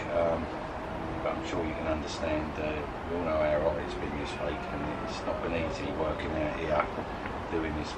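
There is loud background noise while a man talks. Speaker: food reviewer. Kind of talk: casual vlog chat. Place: garden.

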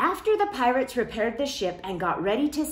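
The voice reads a text aloud. It is reading aloud in a natural voice.

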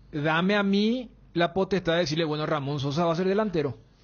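Ordinary pitch variation runs through speech at a fairly quick pace. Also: man. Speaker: sports radio panelist. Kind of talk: casual sports talk. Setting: radio studio.

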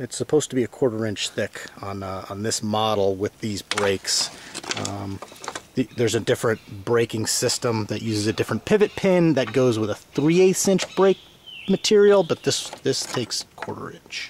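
Against light background noise, a man talks at a moderate pace, the sound dry with no echo. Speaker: tractor owner restoring it. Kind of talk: tutorial. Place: open country. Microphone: phone near.

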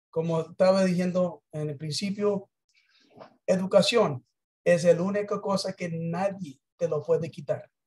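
Against a quiet background, a man speaks at a high pitch. His pace is fairly slow and his intonation fairly even. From United States. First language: English (speaking Spanish). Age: 60s. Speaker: business presenter; presenter. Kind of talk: sales pitch. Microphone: video call.

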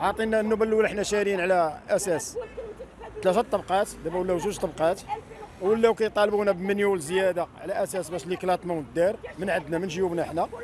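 A man with a high voice speaks at a fairly quick pace and with fairly even intonation. The sound is dry with no echo, and crowd noise runs in the background. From Morocco. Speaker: protester, property buyer. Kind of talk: street interview testimony. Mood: aggrieved, complaining. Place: street. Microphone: handheld.

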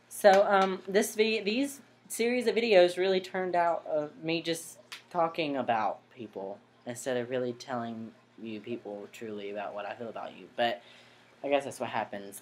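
Over music in the background, a man talks at a moderate pace with very wide pitch swings. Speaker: vlogger. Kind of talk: casual vlog chat. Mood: earnest, slightly defensive. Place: home room. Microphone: webcam.

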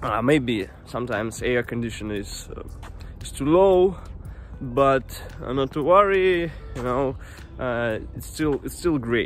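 Over faint background music, a man speaks at a fairly slow pace with long, frequent pauses and big swings in loudness, the sound dry with no echo. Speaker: vlogger. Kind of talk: casual vlog chat. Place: forest. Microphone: earbuds.

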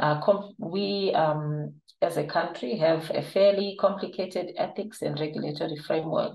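Audible room echo on a woman's voice, fairly low in pitch, at a moderate pace. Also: ordinary pitch variation. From Zimbabwe. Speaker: clinical trial manager and nurse. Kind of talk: webinar presentation. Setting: online webinar. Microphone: webcam.

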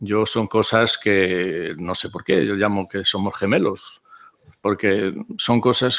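A man's fairly low voice at a very slow pace, fairly even in intonation, over a quiet background. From Spain. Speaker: philosopher's disciple; speaker. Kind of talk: conference talk. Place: hall. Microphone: podium.

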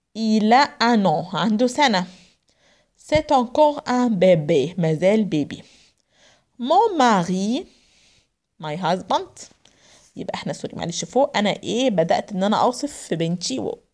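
Very wide pitch swings and long, frequent pauses at a moderate pace, in an Egyptian accent, over a quiet background. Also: woman. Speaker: French language teacher; French teacher. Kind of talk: lecture. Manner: mixes Arabic and French, translating phrase by phrase. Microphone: phone near.

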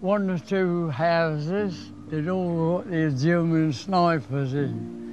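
Faint music plays behind a man whose high-pitched voice has a dry sound with no echo. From Nottingham, England; England. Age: 90s. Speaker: war veteran. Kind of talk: casual chat. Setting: outdoors. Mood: reflective, animated retelling. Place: beach.

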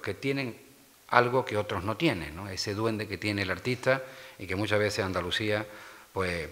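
A man with a fairly low pitch talks in a bright, sharp tone. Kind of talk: press conference statement. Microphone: podium.

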